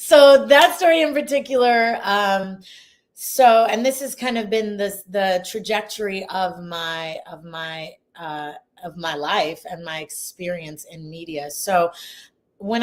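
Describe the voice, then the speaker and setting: A woman with an American accent, medium pitch, very wide pitch swings and a fairly slow pace, on a very clean recording with a silent background. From Ohio, US Midwest. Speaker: investigative journalist. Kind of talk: interview. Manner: hesitant, many fillers.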